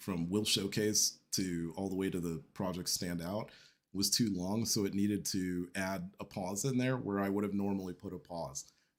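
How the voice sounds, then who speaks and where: With a fairly low pitch, a man talks at a moderate pace on a very clean recording with a silent background. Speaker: tech live-stream host. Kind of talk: casual live-stream talk. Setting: live stream on camera. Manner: hesitant, many fillers.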